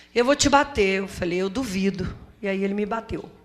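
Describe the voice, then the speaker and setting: A woman talks in an ordinary speaking voice at a medium pitch. Her pace is moderate and her pitch variation ordinary. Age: 60s. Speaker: community association leader, domestic violence survivor. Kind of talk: testimony at a seminar. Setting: auditorium with audience.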